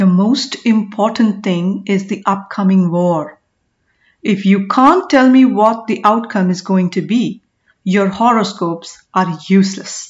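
A woman's somewhat breathy voice in a dramatic, angry tone at a fairly slow pace. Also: medium pitch for a woman, ordinary pitch variation. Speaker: audiobook narrator. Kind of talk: audiobook narration of a historical novel, with character dialogue voiced. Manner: measured, storytelling pace.

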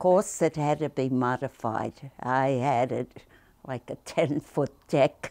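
A woman with a New York accent and a very deep, low voice talks at a very slow pace, her loudness swinging widely while her pitch varies in an ordinary way. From Brooklyn, New York. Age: 80s+. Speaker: artist, painter and sculptor. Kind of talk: interview answer. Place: home room.

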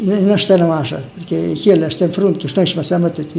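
Over light background noise, a man with a strong Romagna accent speaks in a high pitch. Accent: strong local Romagna dialect. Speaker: war veteran. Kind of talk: interview answer. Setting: old tape recording. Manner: plain, frank, colourful folk speech. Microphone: old recording.

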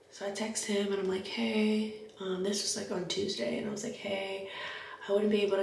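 A woman at a fairly quick pace, with audible room echo and light background noise. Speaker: makeup artist vlogger. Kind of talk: casual vlog chat. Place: home room. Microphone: camera far.

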